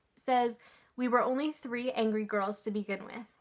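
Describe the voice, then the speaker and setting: A woman speaks in a fairly high pitch. Her intonation stays fairly even. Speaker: book vlogger. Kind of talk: casual vlog book review. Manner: casual with many fillers.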